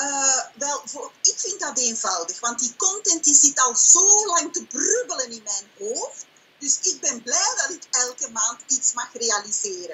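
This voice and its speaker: A woman with a Flemish accent speaks at a very slow pace in a high pitch, with very wide pitch swings and big swings in loudness. Light background noise is present. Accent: Flemish Dutch. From Belgium (Flanders). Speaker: online business owner and coach. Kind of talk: sales pitch and interview answers. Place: home room. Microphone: webcam.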